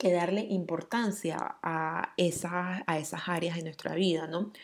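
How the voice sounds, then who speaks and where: A woman's fairly low voice at a very slow pace. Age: 30s. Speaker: podcast host. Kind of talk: casual monologue.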